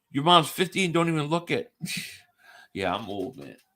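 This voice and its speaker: A man talks with an American accent and a bright, sharp tone. Vocal fry runs through his voice. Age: 40s. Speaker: sports podcast host. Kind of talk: casual chat.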